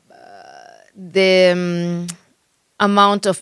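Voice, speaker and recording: In a strong Spanish accent, a woman speaks at a medium pitch with monotone, flat intonation, and the sound is dry and close with no echo. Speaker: real estate agent. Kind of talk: interview. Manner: halting.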